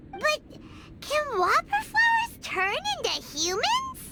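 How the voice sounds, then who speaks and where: An extremely high, squeaky put-on character voice at a fairly slow pace over loud background noise. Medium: video game. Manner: excitable.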